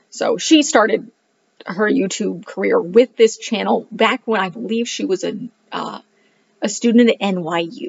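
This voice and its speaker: A woman speaking at a fairly slow pace. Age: 30s. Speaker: homeschooling parent and book reviewer; book reviewer. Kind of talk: casual monologue to camera. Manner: animated. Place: home room. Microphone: webcam.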